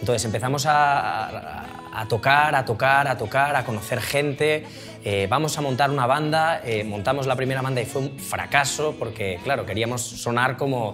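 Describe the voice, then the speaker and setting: A man speaks at a moderate pace with hardly any pauses and ordinary pitch variation, with clear music in the background. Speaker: interviewee. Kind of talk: interview answer. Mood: relaxed, humorous storytelling. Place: studio.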